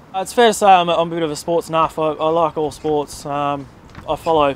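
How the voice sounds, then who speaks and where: With an Australian accent, a man speaks in a high pitch using fairly even intonation. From Australia, country New South Wales. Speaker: cricketer. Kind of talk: interview. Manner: halting.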